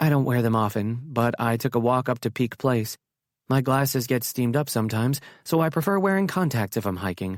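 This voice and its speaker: Using a put-on character voice, a man speaks at medium pitch and a fairly quick pace with lively intonation and very even loudness, on a very clean recording with a silent background. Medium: read story. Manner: dry, sardonic.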